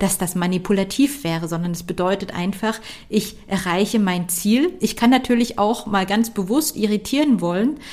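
At a medium pitch and a moderate pace, a woman speaks in a somewhat breathy voice with ordinary pitch variation. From Saxony, Dresden. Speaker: career coach and podcast host. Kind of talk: solo podcast talk.

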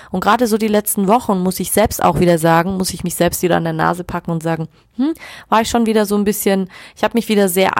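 Very fast and with lively intonation, a woman speaks at a medium pitch. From rural Germany. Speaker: podcast host, sex coach. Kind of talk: personal storytelling monologue.

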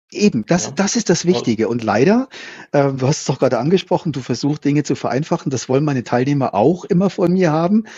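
Speaking at a very fast pace, a man uses a fairly high, somewhat breathy voice with lively intonation. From Germany. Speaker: culture consultant. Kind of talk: podcast interview.

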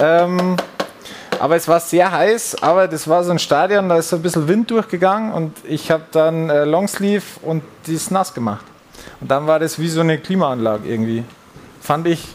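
A man speaks with a high pitch. Noticeable background noise runs behind him. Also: ordinary pitch variation, moderate pace. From Bavaria, Upper Palatinate (Furth im Wald). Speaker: American football player. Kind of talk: casual chat while cooking. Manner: halting, many fillers.

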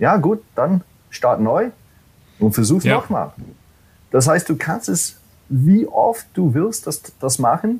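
Very slow and broken by long, frequent pauses, a man's high-pitched voice makes very wide pitch swings. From US, New York City. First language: English (speaking German). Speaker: corporate training manager. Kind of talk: podcast interview. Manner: halting, many fillers.

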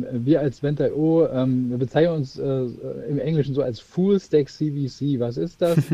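A man with a fairly high voice speaks at a very slow pace. His pitch varies in an ordinary way. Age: 40s. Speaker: managing director of a corporate spin-off. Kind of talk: interview. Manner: halting, many fillers.

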